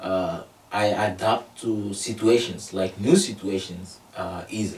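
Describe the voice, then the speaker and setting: A man with a Togolese accent, amid noticeable background noise. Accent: Togolese (West African francophone) English. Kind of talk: interview. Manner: halting, many fillers.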